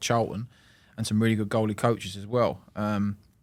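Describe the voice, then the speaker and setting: Fairly quick, monotone speech from a man, fairly low in pitch, with flat intonation. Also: very clean recording, silent background. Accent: London. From London. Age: 20s. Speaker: professional football goalkeeper. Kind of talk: casual chat.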